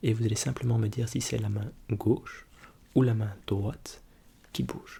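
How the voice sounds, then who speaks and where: Soft-spoken and dark, mellow in tone, a man talks at medium pitch with vocal fry, fairly even intonation, a fairly slow pace and long, frequent pauses. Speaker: ASMR creator playing an ophthalmologist. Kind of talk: ASMR role-play eye exam, soft spoken.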